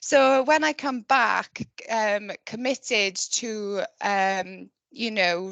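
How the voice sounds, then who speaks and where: Very slowly, a woman with a Welsh Valleys accent speaks in a fairly high voice. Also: ordinary pitch variation. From Wales, the valleys. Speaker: conservation project manager. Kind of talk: online talk presentation.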